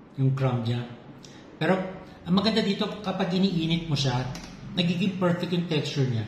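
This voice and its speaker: Audible room echo surrounds a man speaking fairly slowly with ordinary pitch variation. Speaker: home baking vlogger. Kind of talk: casual cooking vlog.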